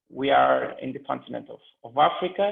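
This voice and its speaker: A man with a non-native accent, talking at a fairly slow pace. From Cape Verde. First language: not English. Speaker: panelist. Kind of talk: panel presentation. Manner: halting.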